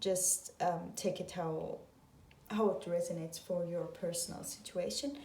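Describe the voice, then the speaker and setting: With a non-native accent, a woman speaks at a very slow pace and medium pitch, her dark, mellow tone and fairly even intonation set in audible room echo. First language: not English. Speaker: tarot reader. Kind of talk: tarot reading video monologue. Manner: hesitant, many filler sounds.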